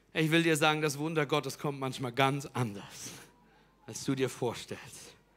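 The delivery has an animated, energetic tone at a fairly slow pace. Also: man. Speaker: preacher. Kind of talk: sermon. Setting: church with live audience. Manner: animated, loud, energetic call-and-response; urgent, direct appeals to the audience.

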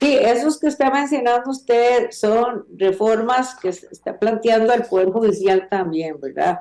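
A fairly high-pitched woman's voice, dark and mellow in tone, with lively intonation, very even loudness, a fairly slow pace and hardly any pauses. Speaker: legislator and criminal lawyer. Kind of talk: interview. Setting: video call.

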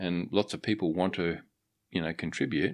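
With an Australian accent, a man speaks at a moderate pace in a very deep, low pitch with ordinary pitch variation, captured in a very clean recording with a silent background. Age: 50s. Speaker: wildlife photographer. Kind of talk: casual interview. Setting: studio. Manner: halting, many fillers.

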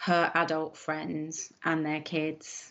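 A woman with an English accent speaks at a very slow pace. Her pitch is fairly low. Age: 40s. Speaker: guest, mother. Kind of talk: interview. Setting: video call. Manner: halting.

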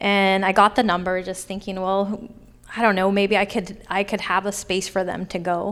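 A woman's medium-pitched, monotone, flat delivery in an American accent at a moderate pace. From Sacramento, California (Oak Park). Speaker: arts center founder. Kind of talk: live panel Q&A. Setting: stage with audience.

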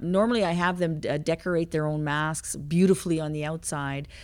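A woman speaks in a plain, everyday voice at a moderate pace, her pitch fairly low and her intonation fairly even. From Quebec, Canada. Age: 50s. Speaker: heavy equipment operator and motivational speaker. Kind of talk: interview, personal testimony.

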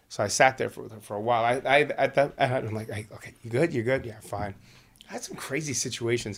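Speaking in a Brooklyn accent, a man with a medium pitch moves at a fairly quick pace. His intonation is fairly even, while his loudness swings widely. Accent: New York (Brooklyn). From New York City, Brooklyn. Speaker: volleyball referee and coach. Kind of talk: casual chat. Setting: video call.

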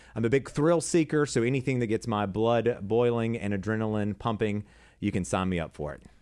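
The speaker is a man with an American accent and an unremarkable speaking voice, medium in pitch with ordinary pitch variation, at a fairly quick pace. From South Carolina, Fort Lawn. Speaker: TV news anchor and producer. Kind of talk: casual chat.

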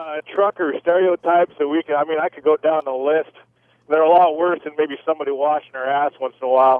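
A man with a plain, everyday voice and a fairly high pitch speaks at a fairly quick pace with fairly even intonation and big swings in loudness. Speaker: military veteran. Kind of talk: casual chat. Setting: phone call.

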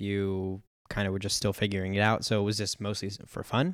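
A man speaks with a Californian accent at a fairly quick pace. His pitch is fairly low, and the recording is very clean with a silent background. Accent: Californian American. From San Diego, US. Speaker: podcast host. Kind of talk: interview.

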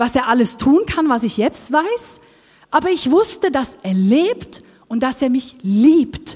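Her voice is high in pitch, and this woman's pitch swings very widely. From Norway. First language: Norwegian (speaking German). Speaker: worship team member. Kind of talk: sermon. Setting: church.

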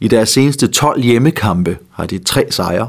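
A man talks very slowly at a fairly low pitch, his pitch varying in an ordinary way. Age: 60s. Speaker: betting tipster co-host. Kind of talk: casual chat.

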